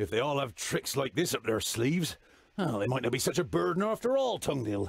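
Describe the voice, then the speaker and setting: A man puts on a gruff character voice at a medium pitch and talks at a fairly quick pace. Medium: video game. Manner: gruff, blunt, stutters.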